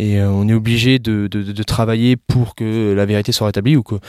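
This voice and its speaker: Recorded dry and close with no echo, a man with a fairly low pitch speaks with fairly even intonation. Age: 20s. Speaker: entrepreneur. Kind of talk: interview. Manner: halting.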